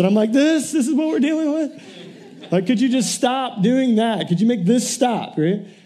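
Over noticeable background noise and audible room echo, a man with an extremely high pitch for a man talks at a moderate pace with lively intonation. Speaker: pastor. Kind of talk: sermon. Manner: animated.

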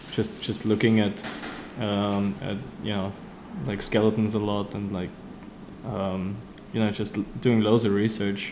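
Speaking with a German accent, a man talks at a fairly slow pace in a fairly low, monotone, flat voice, leaving long, frequent pauses. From Austria. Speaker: street artist. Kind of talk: interview. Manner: halting, many fillers and repeats.

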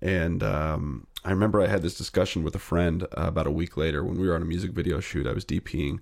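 A man speaks very fast with hardly any pauses, his very deep, low voice carrying vocal fry and ordinary pitch variation on a very clean recording with a silent background. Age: 30s. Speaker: filmmaker. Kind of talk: casual chat.

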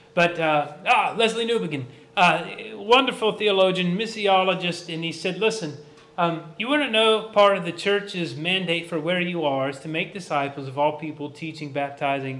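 Talking at a fairly quick pace, a man with a high voice and lively intonation is heard with audible room echo. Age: 40s. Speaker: pastor. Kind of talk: sermon.

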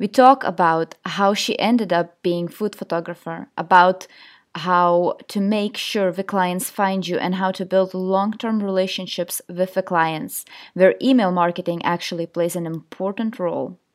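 A woman with a plain, everyday voice and medium pitch speaks at a fairly slow pace with fairly even intonation, in a very clean recording with a silent background. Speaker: podcast host and food photographer. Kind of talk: casual interview chat.

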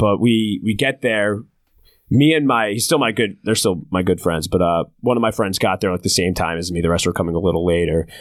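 Here a man with a fairly low pitch and an American accent talks at a fairly quick pace, with an unremarkable speaking voice and ordinary pitch variation. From New Jersey shore. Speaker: comedian and comedy show producer. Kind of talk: casual chat.

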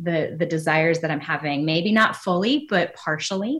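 At a moderate pace, a woman with a fairly low pitch and ordinary pitch variation speaks in a plain, everyday voice. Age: 40s. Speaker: church adult ministry director. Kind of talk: interview.

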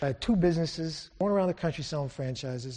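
The voice is somewhat breathy, with a dark, mellow tone and an American accent. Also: man. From Syracuse, New York. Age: 50s. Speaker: lay preacher. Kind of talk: sermon. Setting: church. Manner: animated.

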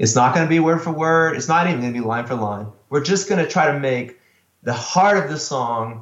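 A man talks in a normal speaking voice. His intonation is lively and his pace fairly quick. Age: 40s. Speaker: worship pastor. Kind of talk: casual chat.

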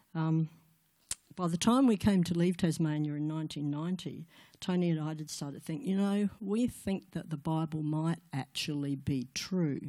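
With a quiet background, a woman in an Australian accent speaks slowly-ish at a fairly slow pace, her dark, mellow tone set at a fairly low pitch with ordinary pitch variation. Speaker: guest speaker at church women's event. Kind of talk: testimony.

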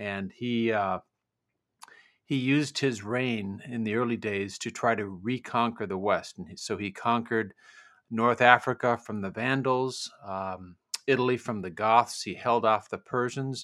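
A normal speaking voice from a man with an American accent, medium-pitched and fairly slow, with fairly even intonation and big swings in loudness, on a very clean recording with a silent background. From US Midwest, Minnesota. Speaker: novelist. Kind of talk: interview.

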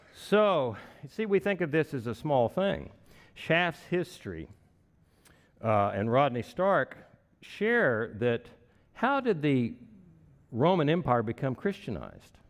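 A man with a Texan accent speaks very slowly at a fairly high pitch. His pitch swings very widely, and his pauses are long and frequent. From Texas (Wichita Falls). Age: 60s. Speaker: pastor. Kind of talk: sermon. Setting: church.

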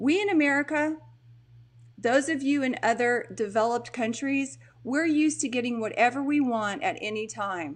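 Against a quiet background, a woman with a Texan accent speaks at a high pitch in an animated tone. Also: lively intonation, moderate pace. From Texas. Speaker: mental health coach. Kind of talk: live stream monologue. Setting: live video stream at home.

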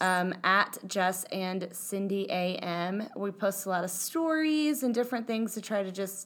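A woman with a medium-pitched voice and an ordinary speaking voice talks at a fairly slow pace on a very clean recording with a silent background. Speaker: podcast co-host. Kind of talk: casual chat.

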